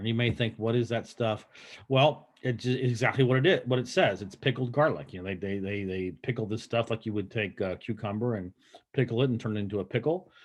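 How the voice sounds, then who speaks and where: A man's medium-pitched voice, an ordinary speaking voice, with ordinary pitch variation at a moderate pace. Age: 50s. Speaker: health vlogger. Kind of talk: casual talk to camera.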